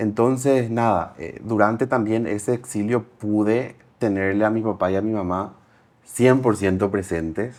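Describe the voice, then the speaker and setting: A man with a normal speaking voice talks at a fairly slow pace with fairly even intonation. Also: fairly low pitch for a man. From Paraguay. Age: 30s. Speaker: entrepreneur. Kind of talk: interview.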